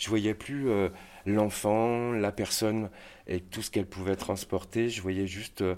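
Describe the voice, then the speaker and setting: Recorded very cleanly against a silent background, a man speaks very slowly in a fairly low, monotone, flat voice. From France, Saint-Étienne. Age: 50s. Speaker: care worker. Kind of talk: testimony. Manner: halting.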